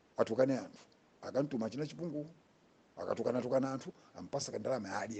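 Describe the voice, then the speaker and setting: A man talks at a very fast pace, his voice somewhat breathy. His pitch is fairly high, with ordinary pitch variation. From Malawi. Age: 60s. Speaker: political commentator. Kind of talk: political monologue.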